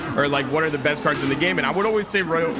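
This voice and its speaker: A man's fairly high voice with a non-native accent and ordinary pitch variation, audible room echo and music in the background. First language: not English. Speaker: esports caster. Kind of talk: live commentary.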